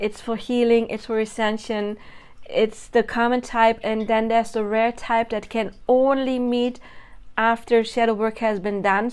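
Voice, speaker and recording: Spoken at a moderate pace with a non-native accent, the delivery stays monotone and flat. The recording is very clean, with a silent background. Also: woman. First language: not English. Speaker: spiritual content creator. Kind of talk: monologue video. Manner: casual, self-correcting.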